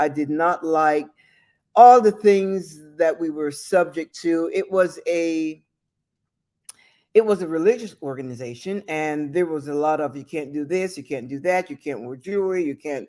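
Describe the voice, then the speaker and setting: A woman with a fairly low pitch and a dark, mellow tone speaks with lively intonation on a very clean recording with a silent background. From abroad, outside the US. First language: a non-English home language. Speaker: talk show host. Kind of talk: solo motivational monologue.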